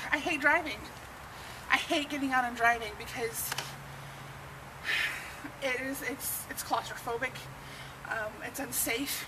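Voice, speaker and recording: This woman's voice is high-pitched, with ordinary pitch variation and a fairly slow pace marked by long, frequent pauses. Noticeable background noise runs through the clip. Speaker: vlogger. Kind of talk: casual vlog chat. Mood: frustrated, candid. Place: street.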